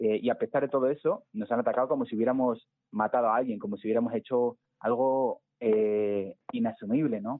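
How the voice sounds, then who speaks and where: A man's medium-pitched, unremarkable speaking voice at a fairly quick pace, with ordinary pitch variation. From Spain, Segovia. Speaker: environmental scientist and climate activist. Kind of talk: interview.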